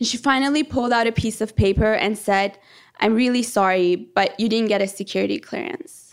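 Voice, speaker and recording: At a fairly quick pace, a woman speaks in an unremarkable speaking voice with a fairly high pitch and ordinary pitch variation. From born in Iran, raised in Canada from age 13. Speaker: planetary geology PhD student. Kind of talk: live storytelling.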